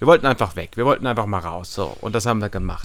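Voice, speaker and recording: A man is speaking. His pitch swings very widely. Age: 20s. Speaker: travel blogger. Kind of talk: casual chat. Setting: outdoors.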